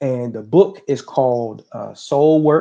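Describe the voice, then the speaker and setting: At a very slow pace, a man speaks at a medium pitch in a dark, mellow tone with fairly even intonation. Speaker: talk show host. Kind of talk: casual chat. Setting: live stream.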